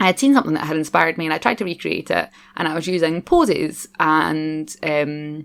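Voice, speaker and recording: A woman with a strong Scottish accent speaks at a fairly low pitch, her intonation lively. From Scotland. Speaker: gaming YouTuber. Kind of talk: voiceover commentary. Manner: fast; casual, chatty.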